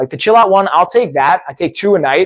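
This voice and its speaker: A man is speaking. His voice is loud. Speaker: fitness coach and live-stream host. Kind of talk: live stream with giveaway and product review. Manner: fast; loud, high energy.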